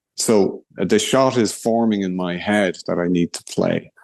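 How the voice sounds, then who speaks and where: A man with an Irish accent speaks at a fairly low pitch, his intonation fairly even. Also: dry, close sound with no echo. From Ireland, Kilkenny. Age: 60s. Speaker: blind golfer. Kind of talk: interview.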